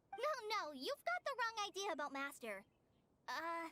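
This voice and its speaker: In a put-on character voice, a woman talks at an extremely high pitch with very wide pitch swings, the sound dry and close with no echo. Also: moderate pace, very even loudness. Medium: video game. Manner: gentle, eager, slightly hesitant.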